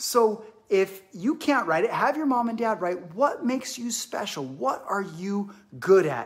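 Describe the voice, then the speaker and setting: A man speaks in an animated, upbeat tone at a fairly slow pace. The background is quiet. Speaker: fitness instructor for kids. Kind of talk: live online kids exercise class, guiding movements. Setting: living room, live stream. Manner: animated, upbeat, encouraging, clear simple directions to children. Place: home room. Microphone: phone near.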